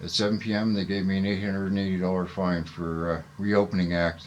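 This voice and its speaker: Very deep, low male voice in a Canadian accent, with monotone, flat intonation and audible room echo. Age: 60s. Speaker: citizen journalist and protester. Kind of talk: casual monologue to camera. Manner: halting, many fillers.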